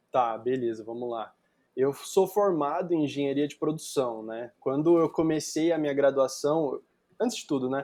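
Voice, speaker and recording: A man with a São Paulo accent speaks at a moderate pace and fairly high pitch, his dark, mellow tone showing ordinary pitch variation and big swings in loudness. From Brazil, São Paulo. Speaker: digital marketer, guest. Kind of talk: podcast interview. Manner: casual, with many filler words.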